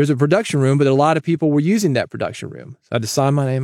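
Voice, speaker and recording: A man's voice with ordinary pitch variation, in a dry, close sound with no echo. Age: 50s. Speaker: podcast host, podcasting marketing coach. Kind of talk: solo monologue, podcast advice. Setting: studio recording. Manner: varies loudness on purpose.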